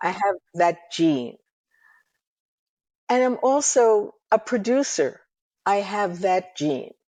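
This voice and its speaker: Speaking very slowly in an American accent, a woman with a dark, mellow tone makes very wide pitch swings and takes long, frequent pauses against a quiet background. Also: medium pitch for a woman. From New York City. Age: 80s+. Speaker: ethnomusicologist and music producer. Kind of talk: interview conversation.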